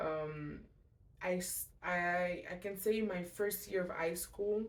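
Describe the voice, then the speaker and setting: With a French accent, a woman speaks very slowly in a fairly low voice with fairly even intonation and audible room echo. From Montreal, Quebec. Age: 20s. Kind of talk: testimony. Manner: halting; casual.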